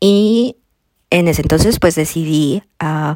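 In a dry, close recording with no echo, a woman speaks with a very deep, low pitch and ordinary pitch variation. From Colombia. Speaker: podcast host, quilter. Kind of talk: solo monologue podcast.

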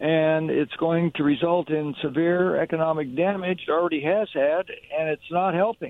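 A man with an American accent speaks in a high voice. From Washington State, Kennewick. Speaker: caller. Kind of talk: talk radio call-in. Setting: phone call.

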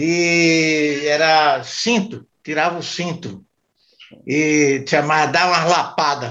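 A man with a fairly high pitch and a bright, sharp tone speaks at a very slow pace. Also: ordinary pitch variation. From Pernambuco, Brazil (Jaboatão). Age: 70s. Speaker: grandfather of the host. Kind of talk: casual family chat.

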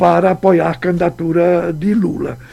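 A man speaks at a fairly slow pace with a high pitch and a dark, mellow tone. His pitch variation is ordinary. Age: 70s. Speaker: former state governor. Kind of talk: radio interview. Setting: radio studio.

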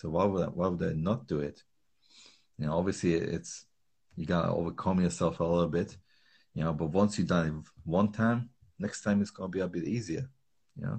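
Speaking at a fairly quick pace in a Slovak accent, a man with a very deep, low pitch shows ordinary pitch variation and big swings in loudness, broken by long, frequent pauses. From Slovakia. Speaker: calisthenics trainer. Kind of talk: casual interview chat.

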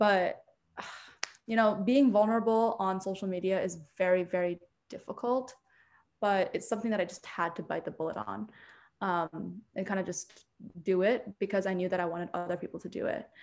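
A woman's medium-pitched voice, fairly quick yet with long, frequent pauses, fairly even intonation, and a very clean recording with a silent background. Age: 20s. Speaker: writer and mental health content creator. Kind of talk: interview.

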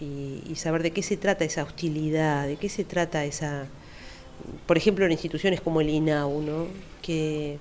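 Fairly even intonation holds across this speech at a moderate pace. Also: woman. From Uruguay, Montevideo (Carrasco). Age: 50s. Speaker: psychologist. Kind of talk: interview.

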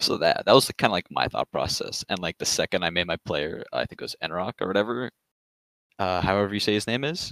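This man speaks very fast with a Canadian accent. The sound is dry and close, with no echo. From Toronto, Canada. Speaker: fantasy baseball league member. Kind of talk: casual chat.

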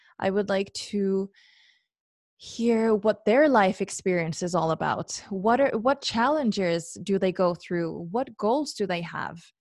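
A woman with a Norwegian accent talks at a fairly slow pace, her medium pitch showing ordinary variation. The recording is very clean, with a silent background. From Norway. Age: 20s. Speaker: podcast host. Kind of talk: solo monologue. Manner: hesitant, many fillers.

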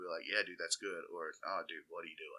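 A man speaks with an Alabama accent. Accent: US Southern (Alabama). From Alabama, Walker County (Jasper). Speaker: DJ. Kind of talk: casual interview chat.

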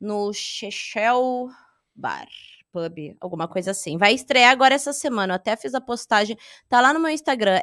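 A woman's fairly high, bright, sharp voice with lively intonation, dry and close with no echo, in a very clean recording with a silent background. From Rio Grande do Sul, southern Brazil. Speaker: stand-up comedian. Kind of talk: casual interview chat.

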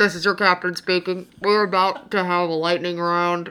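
In a put-on character voice, a female-sounding speaker talks at medium pitch and a moderate pace. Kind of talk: in-flight announcement.

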